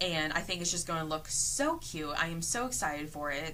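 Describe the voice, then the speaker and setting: Her voice sits fairly low for a woman. Audible room echo surrounds it. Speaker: cross stitcher and quilter vlogger. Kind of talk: casual show-and-tell vlog. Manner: halting, with fillers.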